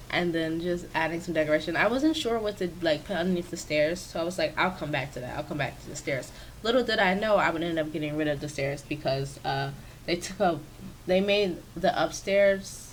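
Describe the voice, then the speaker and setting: A woman talks at a moderate pace with a fairly low voice and ordinary pitch variation. Room echo can be heard. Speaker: gaming YouTuber. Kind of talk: voiceover commentary for a build video. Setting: home office. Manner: casual, filler-heavy.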